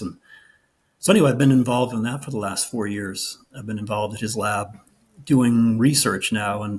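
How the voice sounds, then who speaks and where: Somewhat breathy, a man speaks at medium pitch and a moderate pace. His intonation stays fairly even. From New England. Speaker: meditation and yoga teacher. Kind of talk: interview. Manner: halting, many fillers and restarts.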